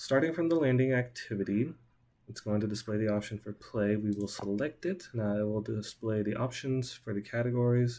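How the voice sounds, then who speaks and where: Speaking at a fairly quick pace, a man with a plain, everyday voice sits at medium pitch and varies it in an ordinary way. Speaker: student. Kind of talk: software demo.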